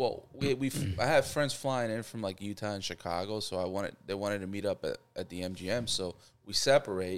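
An ordinary speaking voice at a fairly quick pace, with ordinary pitch variation and hardly any pauses. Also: man, fairly low pitch for a man. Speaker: guest. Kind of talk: casual chat, storytelling.

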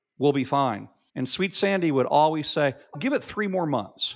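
A man with an unremarkable speaking voice, fairly high in pitch, fairly quick in pace and lively in intonation. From US South, Arkansas. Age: 50s. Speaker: marketing agency founder. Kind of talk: casual chat.

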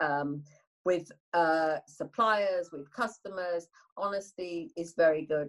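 A woman's fairly low voice in a Yorkshire accent, at a very slow pace, with ordinary pitch variation and big swings in loudness. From northern England. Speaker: business leader. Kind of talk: interview.

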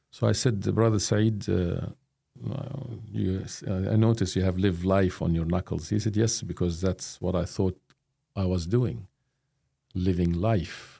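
A man with a very deep, low pitch and a dark, mellow tone, at a fairly slow pace, with long, frequent pauses and very even loudness. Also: ordinary pitch variation. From Jordan. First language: Arabic. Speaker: professor of Islamic studies. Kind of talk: interview.

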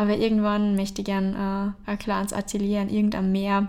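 At a fairly quick pace and medium pitch, a woman speaks in a monotone, flat manner on a very clean recording with a silent background. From Austria, Traunsee area (Upper Austria). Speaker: painter. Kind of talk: interview. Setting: artist's studio.

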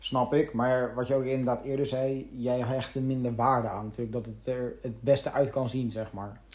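A man talks at a moderate pace with hardly any pauses. His voice sits at a medium pitch with monotone, flat intonation. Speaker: gaming podcast co-host. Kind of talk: casual chat.

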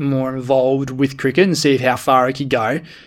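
Speaking with an Australian accent, a man has a fairly high pitch and a fairly quick pace. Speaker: podcast co-host. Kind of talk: casual chat.

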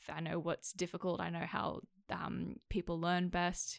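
On a very clean recording with a silent background, a woman with an Australian accent speaks at a moderate pace. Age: 20s. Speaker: actor and accent coach. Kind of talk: casual chat.

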